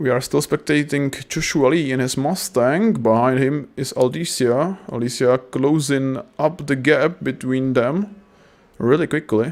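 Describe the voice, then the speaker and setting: A man speaks with a non-native accent at a fairly slow pace. His pitch sits fairly high. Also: ordinary pitch variation. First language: not English. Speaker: sim racing commentator. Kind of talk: live commentary. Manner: halting; animated.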